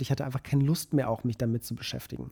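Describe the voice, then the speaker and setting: Medium in pitch with fairly even intonation, a man's voice has a dark, mellow tone. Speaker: podcast co-host, photographer. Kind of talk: casual chat.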